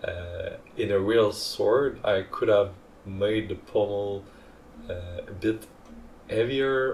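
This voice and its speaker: A somewhat breathy man at a very slow pace, with a non-native accent. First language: not English. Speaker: hobbyist 3D printing creator. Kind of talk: tutorial narration. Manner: hesitant, many fillers.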